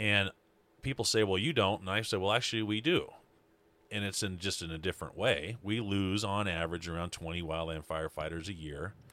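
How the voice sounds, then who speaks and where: In a plain, everyday voice, a man with an American accent speaks at a fairly low pitch with ordinary pitch variation and a fairly quick pace. The recording is very clean, with a silent background. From Montana (Libby). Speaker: wildland fire manager. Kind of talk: casual chat.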